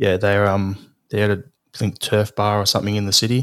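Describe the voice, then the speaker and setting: A man with an Australian accent speaks in a fairly low pitch and a flat monotone at a moderate pace. The recording is very clean, with a silent background. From Australia, Melbourne. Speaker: football fan, podcast founder. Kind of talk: casual chat.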